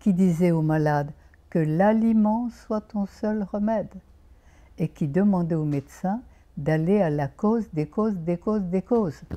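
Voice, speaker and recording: Using a dark, mellow tone, a woman talks fairly slowly. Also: medium pitch for a woman, ordinary pitch variation. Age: 90s. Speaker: naturopath. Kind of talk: interview. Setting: outdoors.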